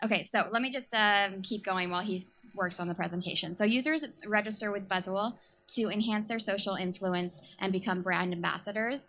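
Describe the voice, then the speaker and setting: Fairly quick speech with a bright, sharp tone and an American accent, ordinary pitch variation, on a very clean recording with a silent background. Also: woman, medium pitch for a woman. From San Francisco, US. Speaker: startup communications manager. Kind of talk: startup pitch presentation. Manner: halting, many fillers.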